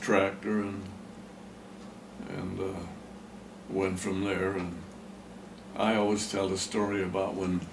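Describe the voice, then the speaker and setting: With audible room echo, a man speaks very slowly in a fairly low, flat, monotone voice. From Pennsylvania, US. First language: German. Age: 90s. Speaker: farmer. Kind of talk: oral history interview. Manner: halting.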